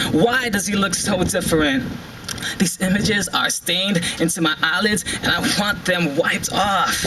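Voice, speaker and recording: A man speaks in a raised, projected voice at a high pitch, with ordinary pitch variation and very even loudness. His pace is moderate, and there is noticeable background noise. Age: 20s. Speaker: spoken word poet. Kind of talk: spoken word poetry performance. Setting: live event, outdoors. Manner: emotional, heartfelt.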